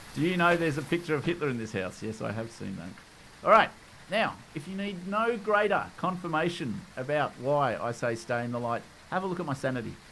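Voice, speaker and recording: Bright and sharp in tone, the voice speaks fairly quickly in an Australian accent with very wide pitch swings. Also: man, fairly high pitch for a man. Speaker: gaming YouTuber. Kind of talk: gameplay tutorial commentary. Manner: casual.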